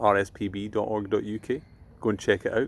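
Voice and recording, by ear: A man speaks with fairly low pitch and little pitch movement. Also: fairly quick pace.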